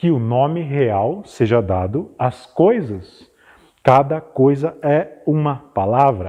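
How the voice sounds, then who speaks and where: A man's dark, mellow, medium-pitched voice with very wide pitch swings against a quiet background. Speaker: dramatic reader. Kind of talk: dramatized literary reading. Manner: expressive.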